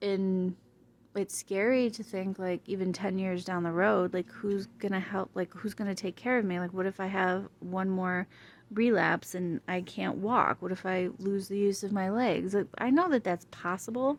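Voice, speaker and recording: Soft-spoken, a woman talks with fairly even intonation. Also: medium pitch for a woman, moderate pace. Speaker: vlogger with multiple sclerosis. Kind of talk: casual vlog chat. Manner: hard to hear, soft.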